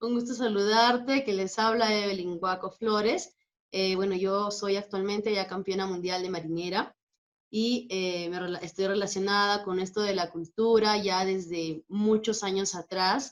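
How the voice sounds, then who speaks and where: A woman with an unremarkable speaking voice talks at a fairly slow pace with fairly even intonation. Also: medium pitch for a woman. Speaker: dance teacher and marinera champion. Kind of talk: interview.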